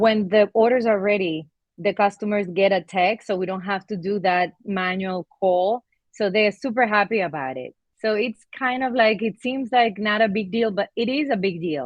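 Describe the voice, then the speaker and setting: Medium pitch, ordinary pitch variation and a moderate pace from a woman speaker. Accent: Spanish. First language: Spanish. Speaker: laundromat owner. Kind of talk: testimonial interview. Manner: halting, with fillers.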